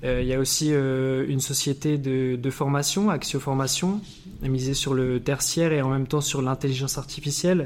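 A man with a fairly high voice talks at a moderate pace, keeping his intonation fairly even and his loudness very even. Noticeable background noise sits behind him. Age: 20s. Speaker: podcast host. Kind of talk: interview.

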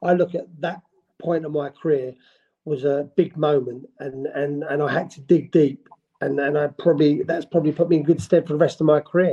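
A man's fairly high voice with a London accent, dark and mellow in tone, at a moderate pace with fairly even intonation. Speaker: football manager. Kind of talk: interview.

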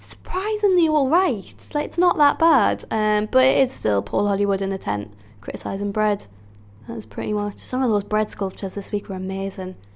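A woman talks at a fairly quick pace. Her loudness rises and falls in big swings. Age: 20s. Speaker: comedian. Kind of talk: interview answers.

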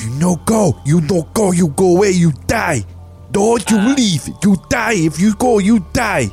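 Over clear music in the background, a put-on character voice at middle pitch speaks at a fairly slow pace. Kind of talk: broken, simple speech. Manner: hissing, threatening.

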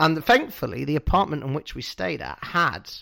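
With a British accent, the speaker uses lively intonation on a very clean recording with a silent background. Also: man. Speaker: wrestling podcast co-host. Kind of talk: casual chat.

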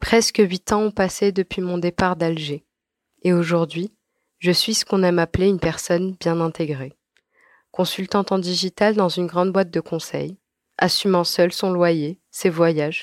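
A woman speaks in a normal speaking voice with a fairly low pitch and fairly even intonation. Her pace is moderate, and the recording is very clean with a silent background. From Algeria (Algiers). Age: 20s. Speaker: emigrant sharing experience. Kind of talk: scripted narration.

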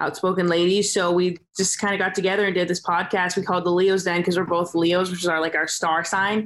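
Talking at a fairly quick pace, a woman with a Californian accent keeps a monotone, flat intonation. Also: medium pitch for a woman, hardly any pauses, very even loudness. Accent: Californian American. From Southern California. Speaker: rugby sevens player. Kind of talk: casual interview. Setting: remote call from Dubai.

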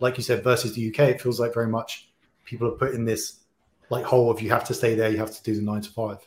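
Speaking very fast with a British accent, a man at medium pitch sounds somewhat breathy, his intonation monotone and flat while his loudness swings widely. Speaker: podcast host. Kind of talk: interview.

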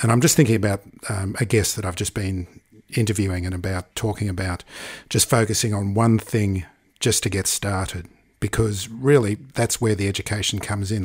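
A man speaks with a fairly low pitch and a somewhat breathy voice at a moderate pace. His intonation is fairly even, and the recording is very clean with a silent background. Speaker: podcast host. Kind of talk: interview with ad reads.

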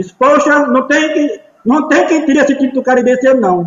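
A man speaks at a fairly quick pace. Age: 60s. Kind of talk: casual chat.

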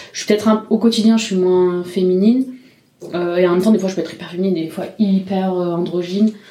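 A woman with a medium pitch talks at a fairly quick pace and fairly even intonation, over noticeable background noise. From Marseille, southern France. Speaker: drag king performer. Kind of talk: interview testimony. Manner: halting.

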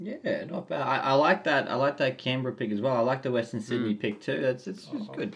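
A man with an Australian accent talks at a very fast pace, with hardly any pauses and lively intonation. His pitch is medium, and noticeable background noise runs underneath. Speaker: podcast host. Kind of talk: casual chat. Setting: remote recording. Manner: animated.

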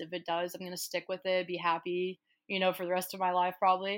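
Talking very fast in an American accent, a woman keeps a fairly low pitch and a monotone, flat intonation. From Kansas City, Missouri, US Midwest. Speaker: marketing agency founder. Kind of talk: interview.

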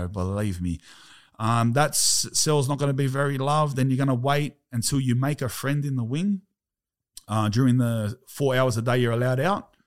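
A man speaks with an Australian accent at a medium pitch and a moderate pace. His pitch variation is ordinary, and the recording is very clean with a silent background. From Australia, Sydney. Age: 30s. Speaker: former prisoner. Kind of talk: casual chat.

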